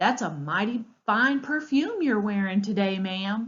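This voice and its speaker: The voice is a put-on character voice. Its intonation is lively. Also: woman, fairly high pitch for a woman, moderate pace. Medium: read story. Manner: warm, playful.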